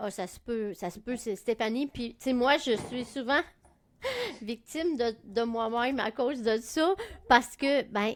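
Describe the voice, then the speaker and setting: The voice moves at a fairly slow pace with big swings in loudness. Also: woman, high pitch for a woman, ordinary pitch variation. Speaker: podcast co-host. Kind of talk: casual chat.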